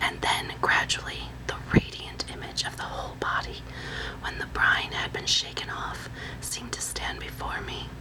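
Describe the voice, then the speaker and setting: A woman whispers in a soothing tone at a moderate pace over noticeable background noise. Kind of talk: whispered ASMR reading of a translated classical novel excerpt. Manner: whispered; soothing, relaxing.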